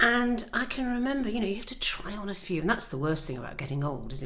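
Talking at a very fast clip, a woman with a fairly low-pitched voice is heard over noticeable background noise. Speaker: podcast co-host, former journalist. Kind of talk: casual chat between old friends. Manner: animated, laughing, jokey.

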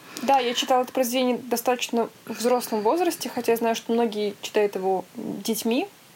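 This woman's fairly high voice moves at a fairly quick pace with ordinary pitch variation and hardly any pauses, over noticeable background noise. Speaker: podcast co-host. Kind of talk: casual chat. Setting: video call.

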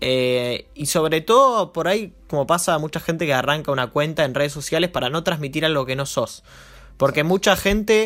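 Using an unremarkable speaking voice, a man talks at a moderate pace in a fairly high pitch with ordinary pitch variation. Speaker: marketing podcast host and entrepreneur. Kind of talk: casual chat.

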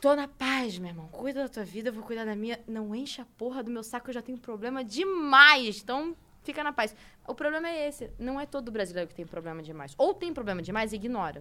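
This woman talks at a fairly quick pace with a high pitch. Her pitch swings very wide, and her loudness swings a lot too. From Brazil, Rio de Janeiro. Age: 20s. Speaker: esports team owner. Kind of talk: casual chat.

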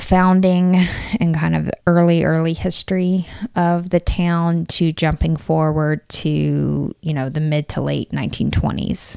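Heard in a dry, close sound with no echo, a woman speaks in an Appalachian accent. Her pace is fairly slow. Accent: Appalachian Southern American. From Corbin, Kentucky (Appalachia). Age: 30s. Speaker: local resident. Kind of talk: casual interview.

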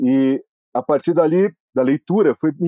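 Dark, mellow tone from a man, the sound dry and close with no echo. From Brazil, Bauru (São Paulo state). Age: 50s. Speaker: sports journalist and biographer. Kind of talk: interview.

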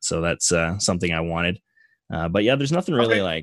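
A man with a Canadian accent and a very deep, low pitch, in a quiet background with a dry, close sound and no echo. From Canada. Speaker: Twitch streamer. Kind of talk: casual chat.

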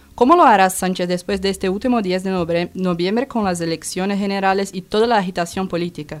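In a Portuguese accent, a woman talks at a very fast pace with a medium pitch and fairly even intonation. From Brazil. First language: Portuguese (speaking Spanish). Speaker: student radio presenter. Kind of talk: scripted news presentation.

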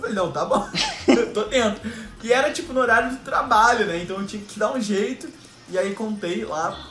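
Over noticeable background noise and audible room echo, a man speaks in a raised, projected voice at an extremely high pitch and a fairly quick pace. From Rio de Janeiro, Brazil. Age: 20s. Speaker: podcast host, digital artist. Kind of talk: casual chat.

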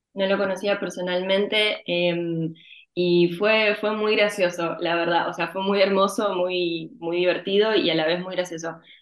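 Her pitch is medium and her intonation monotone and flat. The woman talks at a fairly slow pace. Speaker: actress. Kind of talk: interview.

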